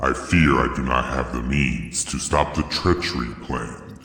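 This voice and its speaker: A put-on character voice from a man, very deep and low, at a fairly slow pace with a clear echo. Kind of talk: solemn mythic drama. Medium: audio drama.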